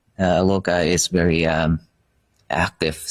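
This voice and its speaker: A man's very deep, low voice in a Vietnamese accent, monotone and flat, with a dry, close sound and no echo. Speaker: Buddhist monk. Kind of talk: interview. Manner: halting.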